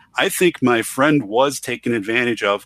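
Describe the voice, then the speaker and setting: A man with an Upper Midwest accent, in a dry, close sound with no echo and a very clean recording with a silent background. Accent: Upper Midwest American. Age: 40s. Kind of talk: casual chat.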